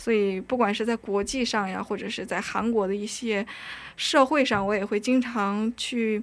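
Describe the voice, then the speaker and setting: A woman talks at a fairly slow pace in a fairly high voice with fairly even intonation. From North Korea, raised in China. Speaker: university student. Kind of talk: casual interview. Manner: nervous, halting.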